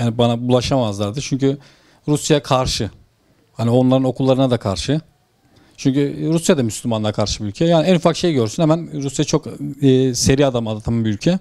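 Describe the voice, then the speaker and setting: Against a quiet background, the speaker moves at a fairly quick pace with ordinary pitch variation and a dark, mellow tone. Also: man. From Turkey, Ordu (Aybastı); Turkey. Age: 30s. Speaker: former textile company manager, whistleblower; interviewee. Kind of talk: interview testimony. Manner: halting. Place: home room. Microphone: handheld.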